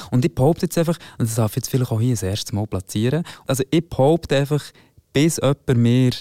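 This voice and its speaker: A man speaks with a dark, mellow tone in a dry, close sound with no echo. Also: very clean recording, silent background. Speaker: singer and voice teacher. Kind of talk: casual chat. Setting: studio.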